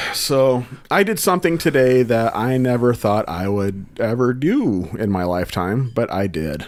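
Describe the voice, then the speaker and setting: A man at medium pitch talks at a moderate pace with hardly any pauses. His pitch swings very widely over noticeable background noise. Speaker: podcast co-host. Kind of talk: casual chat.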